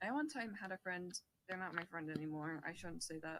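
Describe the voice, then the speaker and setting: An ordinary speaking voice belongs to a woman who speaks at a fairly low pitch and a moderate pace. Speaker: podcast co-host. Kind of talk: casual interview chat.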